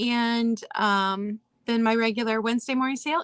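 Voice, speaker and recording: Dry and close with no echo, a woman's voice comes through with a bright, sharp tone. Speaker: vintage seller. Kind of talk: casual chat.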